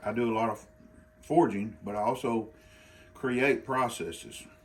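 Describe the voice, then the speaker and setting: With an Arkansas accent, a man at medium pitch talks in fairly even intonation, leaving long, frequent pauses. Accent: Arkansas drawl. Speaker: bladesmith. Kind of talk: informal tutorial. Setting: outdoor forge in the country. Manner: casual, halting with repetitions.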